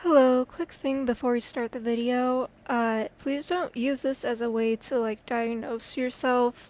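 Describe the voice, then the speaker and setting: With hardly any pauses, a woman speaks at a high pitch. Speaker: video essayist and comic artist. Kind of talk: video analysis monologue. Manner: hesitant, many fillers.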